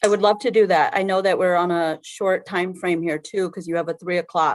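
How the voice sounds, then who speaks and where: A woman with an unremarkable speaking voice talks at a medium pitch and a fairly quick pace with fairly even intonation, on a very clean recording with a silent background. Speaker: state agency head testifying. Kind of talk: committee testimony.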